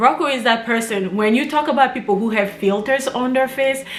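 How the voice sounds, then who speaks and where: With music playing in the background and audible room echo, the voice shows ordinary pitch variation. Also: woman. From Congo, Kinshasa. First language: Lingala or French. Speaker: YouTuber. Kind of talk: casual chat.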